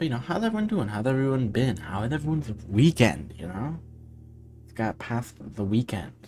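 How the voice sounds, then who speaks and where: With an American accent, a soft-spoken man talks at a moderate pace and medium pitch, his intonation lively and his loudness swinging widely as music plays in the background. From USA. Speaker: streamer and indie game developer. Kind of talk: casual live stream chat. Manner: halting, many fillers.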